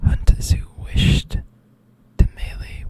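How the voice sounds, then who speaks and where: Someone is whispering in a relaxed tone. Noticeable background noise is present. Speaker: ASMR creator. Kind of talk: ASMR whispered fact reading. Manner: whispered, soft, relaxed.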